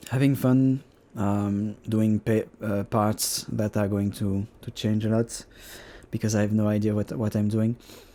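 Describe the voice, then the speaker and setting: In a French accent, the speaker goes at a fairly slow pace with a dark, mellow tone and a monotone, flat intonation. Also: man, fairly low pitch for a man. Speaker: digital artist. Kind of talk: tutorial. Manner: halting; unscripted.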